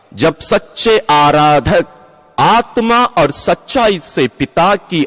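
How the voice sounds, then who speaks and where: A man's solemn, fairly high-pitched voice in a dry, close sound with no echo. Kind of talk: scripture reading. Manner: slow, solemn scripture reading.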